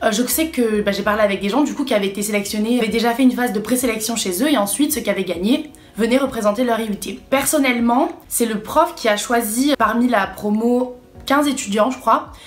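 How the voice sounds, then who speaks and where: A woman with a fairly high pitch talks at a fairly quick pace, using ordinary pitch variation, while noticeable background noise carries on around her. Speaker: vlogger, student. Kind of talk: casual vlog.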